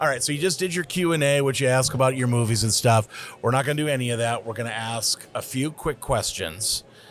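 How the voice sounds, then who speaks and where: A man with an unremarkable speaking voice talks at a fairly quick pace, medium in pitch, with ordinary pitch variation and hardly any pauses. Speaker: podcast interviewer. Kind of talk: casual interview conversation.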